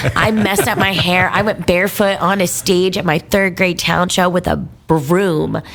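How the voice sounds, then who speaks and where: A woman speaks at a medium pitch and a moderate pace, sounding animated. Her loudness stays very even despite noticeable background noise. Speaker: band singer. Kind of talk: casual chat.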